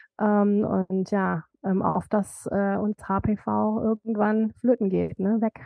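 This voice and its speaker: At a very slow pace, a woman speaks at a medium pitch with monotone, flat intonation. Her loudness stays very even. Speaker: author and cancer survivor. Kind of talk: interview, personal testimony.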